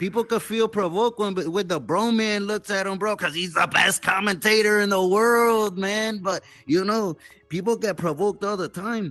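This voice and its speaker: Over faint background music, a man puts on a character voice, drawling at a moderate pace with a high pitch. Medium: machinima. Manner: drawling street slang, calls everyone "Holmes".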